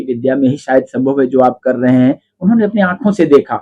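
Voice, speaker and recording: This man's voice is fairly high, with a dark, mellow tone and ordinary pitch variation. He talks at a moderate pace in a dry, close sound with no echo. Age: 60s. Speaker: faith healer. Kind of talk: interview.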